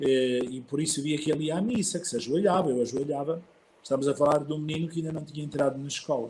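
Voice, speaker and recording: A man talks very fast in a fairly high, somewhat breathy voice. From northern Portugal (Barcelos), childhood partly in Mozambique. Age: 60s. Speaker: archbishop. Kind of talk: interview, personal life story.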